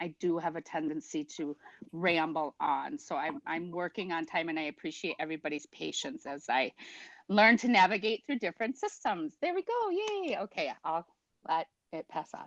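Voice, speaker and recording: Over a quiet background, a woman with an American accent and a fairly low pitch speaks at a moderate pace with lively intonation and big swings in loudness, the sound dry and close with no echo. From Minnesota, Prairie Island Indian Community. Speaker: new school board member. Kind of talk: self-introduction at a meeting.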